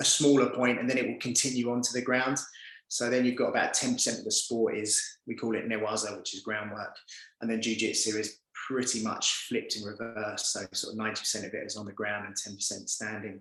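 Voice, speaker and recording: A man with a London accent talks at a very fast pace. His pitch is medium and his intonation is monotone and flat. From East London, England. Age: 40s. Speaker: performance coach and former judo fighter. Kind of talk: podcast interview.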